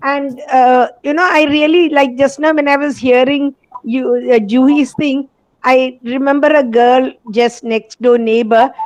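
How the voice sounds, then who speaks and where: A woman's high-pitched voice, fairly slow, with fairly even intonation. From India, Bombay. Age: 60s. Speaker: college lecturer, participant. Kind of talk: testimony.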